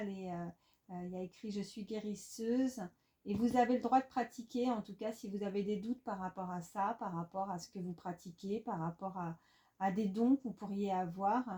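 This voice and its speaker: A woman with a dark, mellow tone speaks with fairly even intonation and a somewhat breathy quality. Her loudness swings widely. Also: medium pitch for a woman, moderate pace. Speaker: tarot card reader. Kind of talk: tarot reading. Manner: halting, many fillers.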